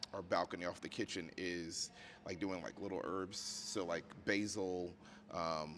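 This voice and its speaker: The pace is moderate. A man talks with a very deep, low pitch. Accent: American. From US South, outskirts of Richmond, Virginia. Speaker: podcast host. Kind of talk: casual interview chat. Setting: on location in a museum.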